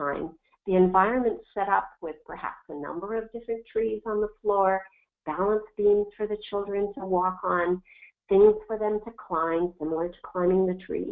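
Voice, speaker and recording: Her loudness swings widely as a woman uses a normal speaking voice at medium pitch, with ordinary pitch variation and a moderate pace. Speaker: early childhood physical literacy researcher. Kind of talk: webinar presentation. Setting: online webinar.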